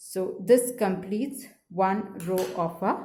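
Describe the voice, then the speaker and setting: Somewhat breathy and dark, mellow in tone, a woman's voice sits at a medium pitch. Her pitch varies in an ordinary way, and audible room echo surrounds it. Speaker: crochet teacher. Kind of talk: tutorial. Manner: slow.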